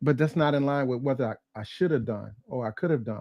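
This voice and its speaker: An unremarkable speaking voice with an American accent, at a moderate pace with ordinary pitch variation, in a dry, close sound with no echo. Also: man. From Gary, Indiana. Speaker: retired Marine and author. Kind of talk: interview answer.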